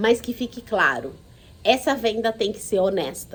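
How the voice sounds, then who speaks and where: Speaking at a fairly slow pace, a woman with a central Brazilian accent keeps a calm tone. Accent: Goiás, central Brazilian countryside. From Goiás, Brazil. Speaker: HR consultant and course instructor. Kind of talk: online course lecture. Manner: calm, unhurried.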